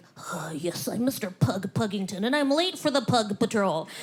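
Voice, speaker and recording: An animated, put-on character voice at a fairly high pitch and moderate pace. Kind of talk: posh. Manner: silly, animated.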